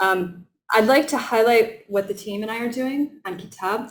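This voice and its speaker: With an American accent, the voice carries vocal fry and audible room echo. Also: woman. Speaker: professor. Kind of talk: lecture. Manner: hesitant, many filler ums.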